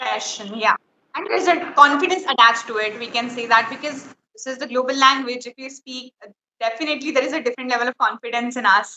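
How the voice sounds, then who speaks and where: A high-pitched woman with an Indian accent, very fast delivery, ordinary pitch variation and big swings in loudness. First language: Hindi. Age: 20s. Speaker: English learner, student. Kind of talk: casual chat. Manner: halting, many fillers.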